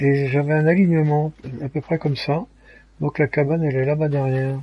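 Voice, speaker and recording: A somewhat breathy man at fairly high pitch, with fairly even intonation and a fairly quick pace. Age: 70s. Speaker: gaming streamer. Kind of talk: live gameplay commentary. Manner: halting, many hesitations.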